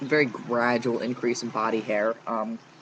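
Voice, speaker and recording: With noticeable background noise behind him, a man's voice sits at a medium pitch. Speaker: vlogger. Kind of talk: casual video diary. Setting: outdoors on back porch. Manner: halting, many fillers.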